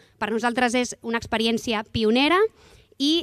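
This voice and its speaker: A woman at a fairly slow pace, the sound dry and close with no echo. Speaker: city council official. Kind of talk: press conference. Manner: halting.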